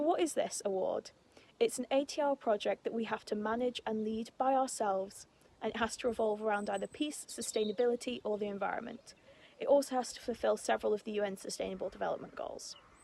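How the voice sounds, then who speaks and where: Speaking very fast with a British accent, a woman has a fairly high pitch, a dark, mellow tone and ordinary pitch variation. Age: 20s. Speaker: student and scout vlogger. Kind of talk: vlog-style documentary narration; tutorial. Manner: casual with frequent fillers.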